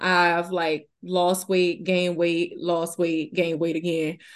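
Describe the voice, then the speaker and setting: Against a quiet background, a woman with a Southern US accent speaks at a fairly slow pace. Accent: Southern US, noticeable. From Louisiana, US South. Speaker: fitness business co-owner and trainer. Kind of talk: casual interview chat. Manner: laughs often, friendly.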